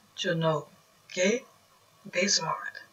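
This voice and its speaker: Over a quiet background, a woman speaks with a Brazilian Portuguese accent. Her pitch is medium and her pace very slow. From Northeast Brazil (Maceió, Alagoas); Northeast Brazil. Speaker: YouTuber; vlogger explaining property law. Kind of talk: casual talk to camera, explainer. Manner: halting, non-native phrasing.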